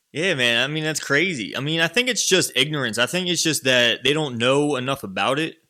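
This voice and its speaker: Speaking at a fairly quick pace with hardly any pauses, a man with an American accent and a fairly high pitch uses lively intonation and a bright, sharp tone on a very clean recording with a silent background. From northern US. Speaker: podcast host. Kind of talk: interview.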